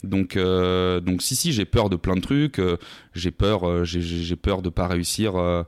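A man speaks in a very deep, low pitch. The recording is very clean and silent in the background, with a dry, close sound and no echo. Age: 20s. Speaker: sales account manager, podcaster and former athlete. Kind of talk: casual interview conversation. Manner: energetic.

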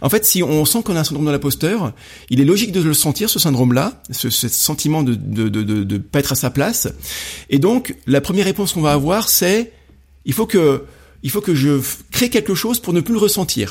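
On a very clean recording with a silent background, a man with a fairly high pitch and vocal fry speaks at a moderate pace, his pitch swinging very widely. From France, Rouen area. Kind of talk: casual interview. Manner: hesitant, many fillers.

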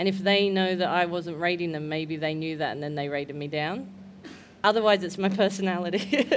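Speaking at a fairly quick pace, a woman with an Australian accent has a fairly low pitch and ordinary pitch variation, with noticeable background noise and audible room echo. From Australia, Newcastle NSW. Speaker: comedian. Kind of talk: casual chat. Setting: stage with audience.

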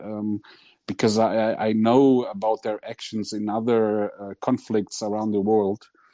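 With a Portuguese accent, a man with fairly low pitch and a dark, mellow tone speaks at a fairly slow pace in monotone, flat intonation, with a dry, close sound with no echo. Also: quiet background. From Portugal. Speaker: listener. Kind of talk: casual discussion. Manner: halting.

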